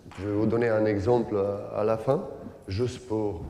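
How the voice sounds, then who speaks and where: Audible room echo surrounds a man with a non-native accent and a dark, mellow tone. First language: not French (speaking French). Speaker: basketball coach, former player. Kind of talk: coaching clinic lecture. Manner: halting, many hesitations.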